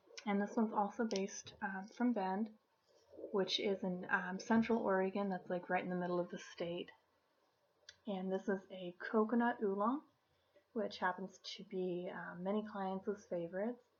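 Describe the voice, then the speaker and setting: Soft-spoken, the voice moves at a moderate pace with fairly even intonation. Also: woman, medium pitch for a woman. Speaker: tea shop host. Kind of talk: ASMR role play. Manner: softly spoken.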